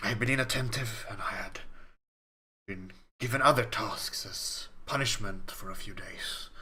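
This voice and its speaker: A man's put-on character voice, medium in pitch, at a moderate pace. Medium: actual play. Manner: formal, measured, solemn.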